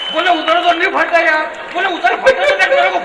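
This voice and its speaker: A man's extremely high-pitched, raised, projected voice at a moderate pace, over crowd noise in the background. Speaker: comedic poet. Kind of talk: live comic poetry performance to audience.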